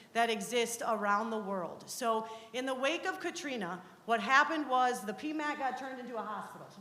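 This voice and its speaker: There is audible room echo as a woman speaks at a fairly quick pace in a high pitch. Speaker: university researcher. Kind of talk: presentation. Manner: fast.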